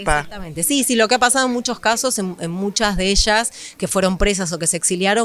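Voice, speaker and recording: A woman's medium-pitched voice at a very fast pace, with ordinary pitch variation. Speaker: author and history researcher; history teacher. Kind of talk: interview answer.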